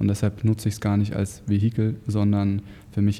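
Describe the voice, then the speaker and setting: A man's fairly low voice, dark, mellow and somewhat breathy, moves at a fairly quick pace. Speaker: podcast co-host, online marketing entrepreneur. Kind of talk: casual chat.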